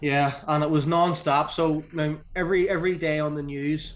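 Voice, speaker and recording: A man speaks in an Irish accent at a fairly high pitch. His intonation is monotone and flat. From Northern Ireland. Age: 40s. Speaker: strength and conditioning coach. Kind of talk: podcast interview.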